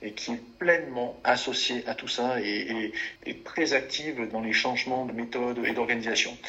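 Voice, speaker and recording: Amid noticeable background noise, a man speaks at a moderate pace with a medium pitch and fairly even intonation. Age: 40s. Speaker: forestry and sawmill company executive. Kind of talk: interview. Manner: hesitant, with fillers and repetitions.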